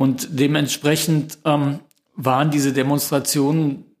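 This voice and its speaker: A man with an ordinary speaking voice, fairly high in pitch, at a fairly slow pace with fairly even intonation. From Lower Rhine, western Germany (Kalkar). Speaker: novelist and painter. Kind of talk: interview, personal recollection.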